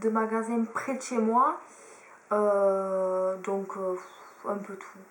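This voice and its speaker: Noticeable background noise accompanies a woman speaking with a southern French accent. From southern France. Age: 20s. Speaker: beauty YouTuber. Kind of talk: casual chat.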